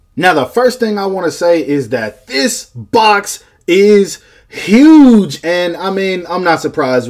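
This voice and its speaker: Over noticeable background noise, a man speaks in an animated tone. His pitch swings very widely. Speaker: toy reviewer. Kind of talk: product review. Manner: fast.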